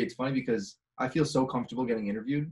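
Speaking very fast, a man with an American accent uses a medium pitch and ordinary pitch variation. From US Midwest, Chicago. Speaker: singer-songwriter, podcast host. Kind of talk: casual interview. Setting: video call.

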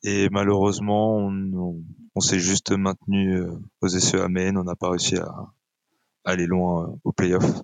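This man's voice is very deep and low, with monotone, flat intonation. He talks at a very slow pace, and the sound is dry and close with no echo. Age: 30s. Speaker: esports player. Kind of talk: casual chat.

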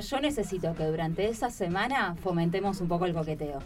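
Lively intonation marks a woman speaking at a fairly quick pace with a medium pitch. Room echo is audible. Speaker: radio co-host. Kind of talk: casual chat.

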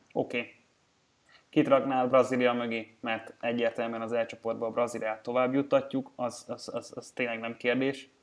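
The man's medium-pitched voice carries a monotone, flat intonation. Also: moderate pace. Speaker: sports betting podcast host. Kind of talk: casual chat.

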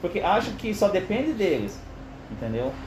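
A man's speech carries audible room echo. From Curitiba, southern Brazil. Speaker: football commentator among coworkers. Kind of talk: casual chat.

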